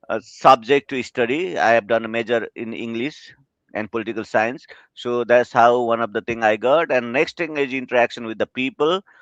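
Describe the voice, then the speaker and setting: The speaker has a Nepali accent and talks at a moderate pace with ordinary pitch variation. The sound is dry and close with no echo, against a quiet background. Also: man, medium pitch for a man. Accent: Nepali (South Asian) English. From Bhutan, refugee camps in Nepal. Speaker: over-the-phone interpreter. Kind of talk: interview on live web show.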